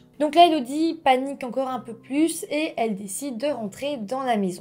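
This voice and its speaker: A woman's high-pitched, dark, mellow voice with a calm tone at a moderate pace. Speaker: true-crime YouTuber. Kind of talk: true-crime narration, scripted storytelling to camera. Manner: calm, measured, storyteller tone with friendly asides. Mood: serious, calm narration. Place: home room.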